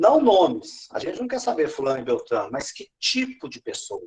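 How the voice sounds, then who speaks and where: A man speaking at a fairly quick pace. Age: 60s. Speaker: education trainer / pedagogical advisor. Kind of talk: teacher training session.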